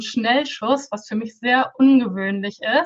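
A woman has a normal speaking voice with a fairly high pitch. Her pitch varies an ordinary amount, and her pace is fairly slow. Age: 20s. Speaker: Pinterest consultant and coach. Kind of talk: podcast interview.

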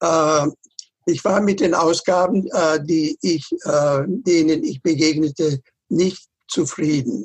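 A man speaks in a fairly high pitch at a very slow pace, with long, frequent pauses. His pitch varies ordinarily and his loudness stays very even. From northern Germany (Lower Saxony). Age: 80s+. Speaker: author and retired professor. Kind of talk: interview. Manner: halting, many repetitions.

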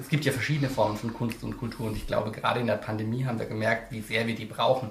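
A man with a medium-pitched voice and fairly even intonation speaks amid noticeable background noise and audible room echo. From Lower Franconia, Germany (Lohr am Main). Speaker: author. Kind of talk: interview.

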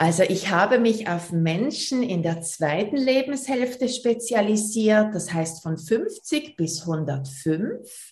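A woman in a Basel accent speaks very slowly and somewhat breathily at a fairly high pitch, with very wide pitch swings. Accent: Swiss German, Basel. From Switzerland, Basel. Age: 40s. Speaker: personal trainer. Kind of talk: interview.

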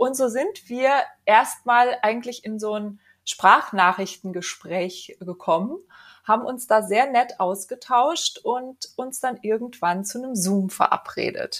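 Spoken at a very slow pace with ordinary pitch variation and big swings in loudness, this very clean recording has a silent background. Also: woman, high pitch for a woman. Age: 40s. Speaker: first-time author, property manager. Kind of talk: podcast interview. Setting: studio.

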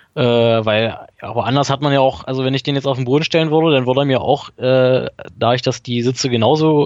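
A man talks at a fairly quick pace, medium in pitch, with fairly even intonation. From Saxony-Anhalt, near Magdeburg. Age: 20s. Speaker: daily rail commuter, student. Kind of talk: casual podcast conversation. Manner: hesitant, many filler sounds.

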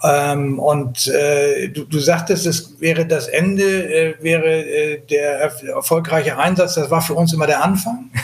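Over noticeable background noise, a man with a fairly high voice speaks at a fairly slow pace and with fairly even intonation. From Hamburg, northern Germany. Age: 60s. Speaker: sea rescue activist. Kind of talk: interview. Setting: remote call. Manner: halting, many fillers.

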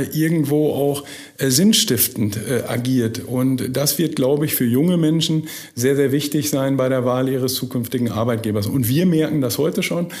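A man's fairly high pitch at a moderate pace, with ordinary pitch variation, audible room echo and noticeable background noise. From Münsterland, Germany (Burlo near Borken, Dutch border). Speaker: managing director of a company. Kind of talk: podcast interview. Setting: studio.

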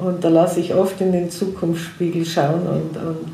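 Amid noticeable background noise and audible room echo, a woman speaks in a flat monotone, her pitch fairly low for a woman. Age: 60s. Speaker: hypnotherapist. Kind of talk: interview.

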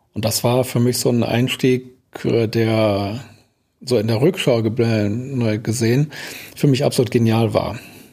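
The voice has a dark, mellow tone, fairly even intonation and very even loudness at a very slow pace. It is a very clean recording with a silent background. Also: man, medium pitch for a man. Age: 60s. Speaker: building damage expert and lecturer. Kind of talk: interview conversation.

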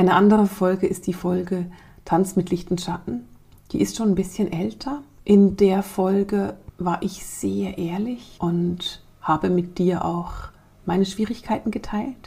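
A woman's medium-pitched voice with vocal fry, a dark, mellow tone, ordinary pitch variation and a fairly slow pace. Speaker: spiritual podcast host and coach. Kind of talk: podcast narration. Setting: studio.

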